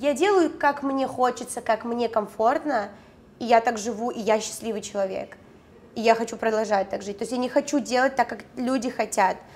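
Moderate pace and ordinary pitch variation from a woman with a fairly high voice. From Khabarovsk, Russia. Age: 20s. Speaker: reality show participant, blogger. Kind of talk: casual interview chat. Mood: confident, self-assured. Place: studio.

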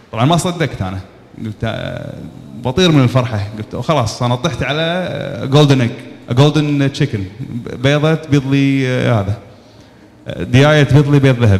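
This man talks at a moderate pace. His pitch varies an ordinary amount. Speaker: speaker. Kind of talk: talk telling a personal business story. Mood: animated, humorous storytelling. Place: hall. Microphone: handheld.

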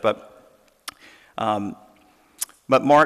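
A man speaks at a fairly slow pace with a fairly bright tone. His intonation stays fairly even.

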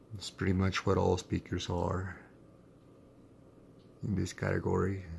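A man speaks at a very slow pace in a very deep, low voice that is somewhat breathy. Light background noise sits behind him. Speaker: hobbyist reviewer. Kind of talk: casual product demo talk to camera. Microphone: phone near.

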